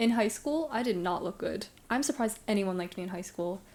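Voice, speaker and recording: A woman with an American accent speaks very fast in a dark, mellow tone. Her intonation is lively. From Brooklyn, New York. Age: 20s. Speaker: streamer. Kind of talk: casual chat. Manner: casual, filler-heavy.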